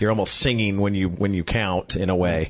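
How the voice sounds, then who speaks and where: Moving at a fairly quick pace, this is an unremarkable speaking voice. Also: man. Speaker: auctioneer. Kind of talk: interview answer. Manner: conversational, casual.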